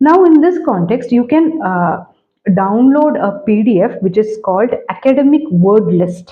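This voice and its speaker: Speaking slowly-ish in a Keralan accent, a woman lets her pitch swing very widely. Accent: Indian (Malayali) English. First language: Malayalam. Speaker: English language teacher. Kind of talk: tutorial. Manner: hesitant, many fillers.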